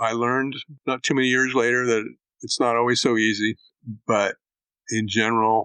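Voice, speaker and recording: A man with an American accent at a medium pitch, moderate pace, and fairly even intonation. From Northern California (Woodland). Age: 60s. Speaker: rice farmer. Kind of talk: casual interview. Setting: podcast recording.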